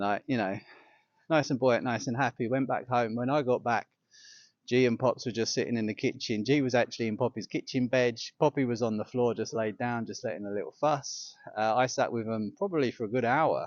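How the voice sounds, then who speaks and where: A man with an English accent, medium pitch, and fairly even intonation. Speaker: yoga teacher. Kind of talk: personal reflection vlog. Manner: halting.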